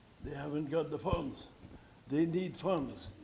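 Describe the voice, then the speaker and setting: Speech comes at a fairly slow pace with audible room echo around it. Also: man. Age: 80s+. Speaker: senior citizen delegate presenting to council. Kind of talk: public delegation at council meeting. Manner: halting, repetitive.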